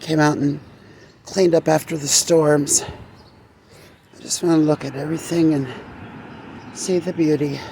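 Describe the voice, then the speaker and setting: A woman speaks at a very deep, low pitch and moderate pace, in a monotone, flat intonation with long, frequent pauses. Noticeable background noise is present. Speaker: gardening vlogger. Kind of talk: casual vlog. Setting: outdoors in garden. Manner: subdued.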